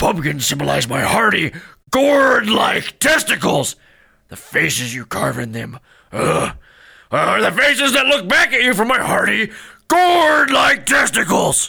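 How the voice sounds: In a put-on character voice, a man speaks high and at a fairly slow pace, with big pitch swings, a bright, sharp tone, a slightly husky edge and vocal fry.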